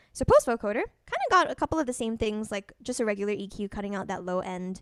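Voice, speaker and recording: A woman's fairly high voice at a very fast pace. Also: dry, close sound with no echo. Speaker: music producer demonstrating software. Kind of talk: online tutorial demo. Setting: video call. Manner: casual, some filler words.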